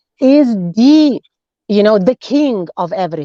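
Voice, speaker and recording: Recorded dry and close with no echo, a woman talks very slowly while her pitch swings very widely. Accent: non-native. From former USSR. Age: 40s. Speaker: nutritionist. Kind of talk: interview. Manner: halting, self-correcting.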